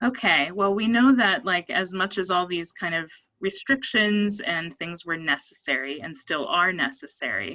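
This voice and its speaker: With an American accent, a woman speaks at a moderate pace and a medium pitch. Her tone is bright and sharp, with lively intonation. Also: quiet background. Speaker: psychologist. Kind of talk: presentation.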